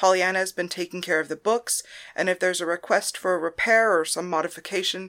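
The pitch varies in an ordinary way as the reading aloud goes on in a natural voice.

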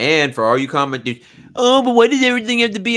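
A man with a Southern US accent, high pitch, very wide pitch swings, and a bright, sharp, animated tone at a very fast pace, in a very clean recording with a silent background. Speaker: podcast host. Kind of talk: casual banter. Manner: animated, humorous.

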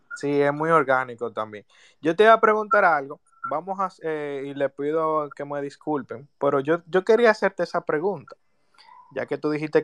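A man with an unremarkable speaking voice talks at a fairly high pitch and fairly quick pace. His intonation is lively, and the sound is dry and close with no echo. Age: 20s. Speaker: listener asking questions. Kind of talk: audience question. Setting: Twitter audio space.

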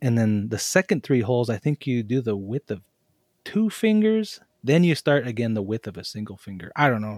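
A plain, everyday voice from a man with an American accent, medium pitch, ordinary pitch variation and a fairly quick pace, in a dry, close sound with no echo. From western Montana, Flathead Reservation. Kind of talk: casual group discussion.

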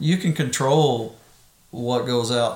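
The intonation is fairly even. Audible room echo and noticeable background noise come through. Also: man. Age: 50s. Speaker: golfer and podcast guest. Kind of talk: casual chat.

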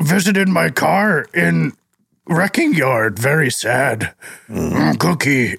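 A man puts on a gravelly character voice with a fairly high pitch. He talks at a fairly slow pace with very wide pitch swings.

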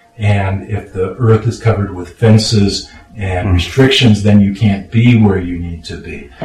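Over noticeable background noise, a man with a fairly low pitch and an American accent speaks at a moderate pace with fairly even intonation. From Los Angeles, California. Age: 60s. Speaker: retired lawyer and radio producer. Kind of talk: casual chat. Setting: home studio.

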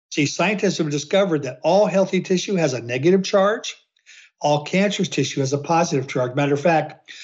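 A normal speaking voice with ordinary pitch variation moves fairly quickly. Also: man. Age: 60s. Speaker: health researcher. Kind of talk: interview answers.

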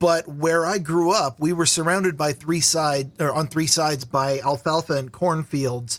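A man with a Pacific Northwest accent and a fairly high pitch, at a moderate pace with very even loudness and fairly even intonation. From Vancouver, Washington (Portland area), US Pacific Northwest. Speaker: podcast guest. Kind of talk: casual chat. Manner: halting, repeats words.

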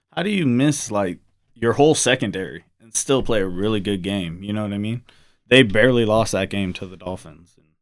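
On a very clean recording with a silent background, a man speaks in an ordinary speaking voice at a fairly quick pace, with a fairly low pitch, ordinary pitch variation and big swings in loudness. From US South, New Orleans. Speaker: football fan guest. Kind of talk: casual chat.

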